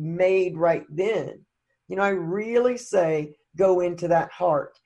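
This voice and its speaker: With a Southern US accent, a woman speaks in a dark, mellow tone at a fairly low pitch with ordinary pitch variation. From US Deep South. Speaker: recovery podcast guest. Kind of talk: casual interview.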